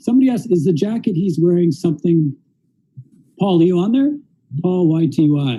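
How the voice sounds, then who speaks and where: At a fairly quick pace, a Canadian accent comes through in a dark, mellow, somewhat breathy tone with ordinary pitch variation. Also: man. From Canada. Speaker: interviewer and interpreter. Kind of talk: live-streamed interview with interpreting. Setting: live stream in a store. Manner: casual, animated.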